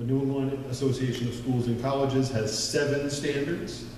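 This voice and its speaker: A man talks at a fairly quick pace and medium pitch with fairly even intonation. Noticeable background noise and audible room echo surround him. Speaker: school district administrator. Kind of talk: public meeting presentation.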